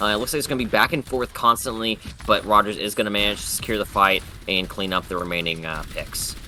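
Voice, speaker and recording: A man talks at a very fast pace, with fairly low pitch and ordinary pitch variation. Noticeable background noise runs underneath. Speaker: esports caster. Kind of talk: live commentary. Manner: stuttering.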